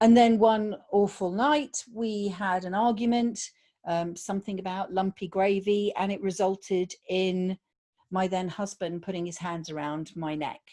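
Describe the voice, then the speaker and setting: In a British accent, a woman speaks with a dark, mellow tone at a medium pitch with ordinary pitch variation, on a very clean recording with a silent background. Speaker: podcast guest sharing abuse survival story. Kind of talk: personal testimony interview. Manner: hesitant, with fillers.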